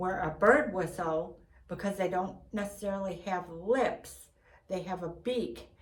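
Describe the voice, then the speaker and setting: A woman speaks very slowly over noticeable background noise, with audible echo in the room. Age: 60s. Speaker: Bigfoot enthusiast vlogger. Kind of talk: casual monologue.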